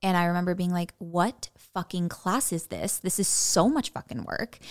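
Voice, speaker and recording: An ordinary speaking voice with an American accent moves at a fairly quick pace on a very clean recording with a silent background. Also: woman. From Illinois, Chicago suburbs. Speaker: actor and blogger. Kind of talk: casual chat.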